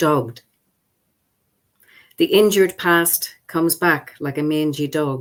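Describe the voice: Speaking slowly, a woman keeps a low pitch with ordinary pitch variation.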